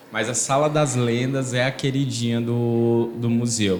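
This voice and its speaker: The speaker is a man with a medium pitch. Audible room echo surrounds his voice. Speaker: museum projects coordinator. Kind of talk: interview. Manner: halting, repeats words.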